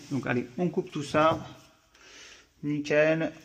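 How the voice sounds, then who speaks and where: A man speaks with a fairly high pitch and a somewhat breathy voice. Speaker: electrician. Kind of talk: tutorial. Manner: casual.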